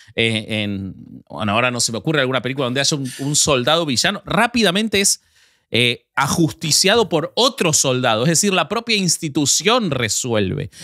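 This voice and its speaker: Recorded very cleanly with a silent background, a man with a fairly high, bright and sharp voice talks at a moderate pace with very wide pitch swings. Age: 40s. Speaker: podcast co-host. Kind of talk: casual chat.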